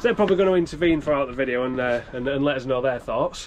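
A man talks while noticeable background noise fills the clip. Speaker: vlogger giving van tour. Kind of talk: casual vlog chat. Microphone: phone near.

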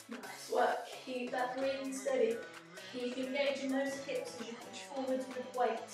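Over clear music in the background and strong room echo, a woman speaks in a high pitch at a fairly slow pace with monotone, flat intonation. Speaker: fitness instructor. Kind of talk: workout class instruction. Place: home room. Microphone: camera far.

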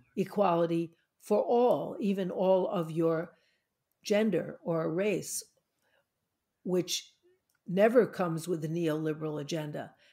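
On a very clean recording with a silent background, a woman speaks at a fairly slow pace with long, frequent pauses. Her fairly low, dark, mellow voice shows ordinary pitch variation. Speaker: podcast host. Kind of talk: podcast conversation.

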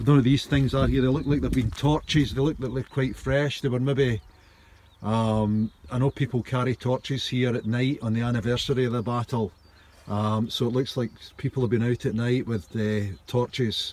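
A man speaks at a moderate pace with fairly even intonation. The sound is dry, with no echo. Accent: Scottish. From Scotland. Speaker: writer and storyteller. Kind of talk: outdoor guided history tour to camera. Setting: outdoors. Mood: calm, reflective. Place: open country. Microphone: phone near.

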